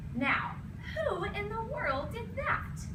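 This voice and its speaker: The speaker uses a put-on character voice. Loud background noise fills the recording. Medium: read story.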